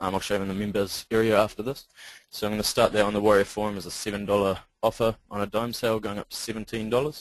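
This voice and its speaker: Over a quiet background, a man with a New Zealand accent talks very fast in a fairly low pitch with a monotone, flat intonation. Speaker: internet marketer. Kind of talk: sales pitch. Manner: hesitant, many ums.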